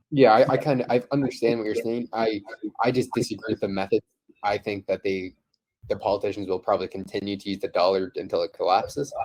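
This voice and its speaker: Recorded with a dry, close sound and no echo, a man talks at a very fast pace. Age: young. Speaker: investing podcast host. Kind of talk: casual chat. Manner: halting.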